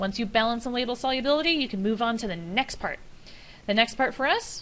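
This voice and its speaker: A woman speaks at a fairly quick pace with ordinary pitch variation. Audible room echo surrounds her voice. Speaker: high school chemistry teacher. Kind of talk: classroom lecture. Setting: classroom with students. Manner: fast.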